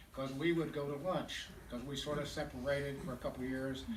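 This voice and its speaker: The room echo is audible and there is noticeable background noise. The speaker talks at a fairly quick pace. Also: man. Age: 80s+. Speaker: memorial speaker, businessman. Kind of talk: eulogy.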